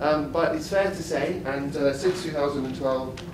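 Noticeable noise in the background, with pitch varying in an ordinary way. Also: man. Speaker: guest. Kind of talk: formal introduction to an audience. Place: hall.

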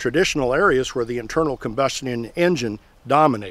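A man with an Ozarks accent speaks at a fairly high pitch with lively intonation. The sound is dry, with no echo. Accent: Missouri Ozarks rural American. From US Midwest, Missouri Ozarks; Missouri. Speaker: tractor video creator; tractor channel host. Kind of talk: tutorial-style vlog talk to camera. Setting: outdoors by power pole. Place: open country.

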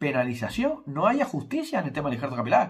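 A man speaks with very wide swings in pitch. The background is quiet. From Spain. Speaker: YouTuber and hair transplant consultant; YouTuber. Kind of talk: casual vlog monologue. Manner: informal, conversational. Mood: critical, explanatory. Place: home room. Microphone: phone near.

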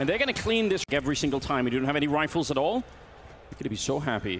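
The voice sounds excited, with lively intonation at a very fast pace. Noticeable background noise runs underneath. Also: man. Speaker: esports caster. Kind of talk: live esports commentary. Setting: broadcast match commentary over game footage. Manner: fast-paced, excited play-by-play.

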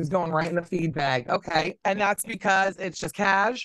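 Using a fairly bright tone, a woman with a fairly low pitch talks at a moderate pace with ordinary pitch variation.

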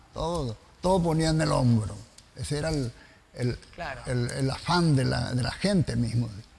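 A man talks at a moderate pace and medium pitch with ordinary pitch variation. Long, frequent pauses break up his speech against noticeable background noise. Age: old. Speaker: TV host. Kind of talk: casual chat.

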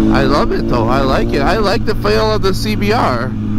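The sound is dry with no echo, under loud background noise. The pace is moderate. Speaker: motovlogger rider. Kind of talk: casual vlog chat. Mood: enthusiastic about the bike. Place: motorbike.

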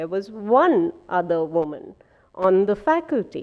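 A woman's dark, mellow voice at a medium pitch, with very wide pitch swings over a quiet background. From India. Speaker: medical scientist; scientist giving lecture. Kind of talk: lecture. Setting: auditorium with audience. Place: hall.

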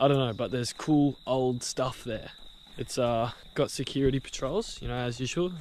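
A man talks at a moderate pace, the sound dry with no echo and light background noise behind him. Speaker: urban explorer vlogger. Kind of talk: casual vlog chat. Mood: joking, playful banter. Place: street. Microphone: phone near.

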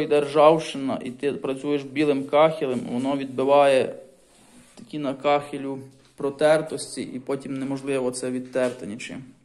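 The man speaks at a moderate pace with fairly even intonation. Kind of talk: casual vlog chat. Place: home room.

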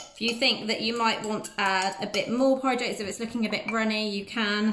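A woman at a fairly quick pace with fairly even intonation, amid light background noise and audible room echo. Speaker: presenter. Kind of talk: tutorial. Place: kitchen. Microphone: phone near.

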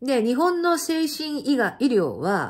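The background is quiet. A woman speaks in an animated tone. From Japan. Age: 50s. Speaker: channel host sharing life stories. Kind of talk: casual monologue recounting personal life. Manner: animated, chatty, laughing. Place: home room. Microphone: phone near.

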